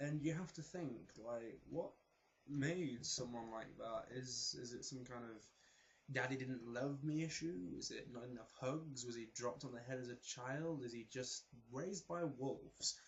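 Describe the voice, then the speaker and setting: A man speaks at a medium pitch with ordinary pitch variation and a somewhat breathy quality. He has a slight South Yorkshire accent. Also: moderate pace. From South Yorkshire, England. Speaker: vlogger, performing arts student. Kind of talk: casual vlog monologue.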